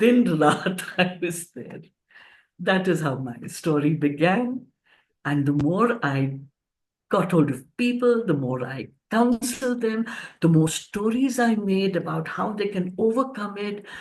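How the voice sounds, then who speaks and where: Very wide pitch swings mark this fairly slow speech in an Indian accent. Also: woman, medium pitch for a woman. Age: 70s. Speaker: author and cancer counselor. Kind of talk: storytelling interview. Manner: animated.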